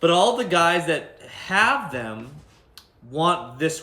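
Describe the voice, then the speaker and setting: A man is speaking. There is audible room echo. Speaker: tool reviewer, tradesman. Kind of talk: product review. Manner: casual, filler-heavy.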